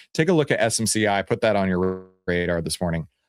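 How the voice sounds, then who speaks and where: In a very clean recording with a silent background and a dry, close sound with no echo, a man with an American accent speaks at a moderate pace with ordinary pitch variation. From Texas. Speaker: stock market educator. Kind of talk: market commentary video. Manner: animated.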